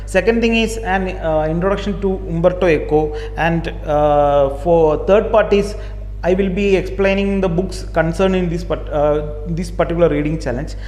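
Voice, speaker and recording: The speaker has a Keralan accent. Noticeable background noise runs underneath. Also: moderate pace. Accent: Indian English, Malayali. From Kerala, southern India. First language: Malayalam. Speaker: book YouTuber. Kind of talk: casual video monologue. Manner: halting, many repetitions and fillers.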